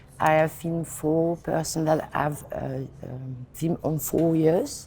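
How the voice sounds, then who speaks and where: A woman's very deep, low voice in a French accent, with ordinary pitch variation. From France. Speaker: film director. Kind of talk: interview. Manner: halting.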